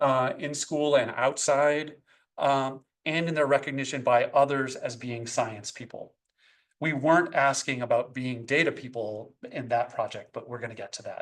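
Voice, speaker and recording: A man speaks at a moderate pace with a fairly high pitch. He has an unremarkable speaking voice, and the background is quiet. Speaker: professor, education researcher. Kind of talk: academic seminar talk. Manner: frequent fillers (um, uh).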